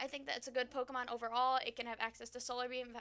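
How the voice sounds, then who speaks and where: A woman speaks in a high pitch with a bright, sharp tone. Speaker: gaming YouTuber. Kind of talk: casual commentary video. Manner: fast; hesitant with fillers.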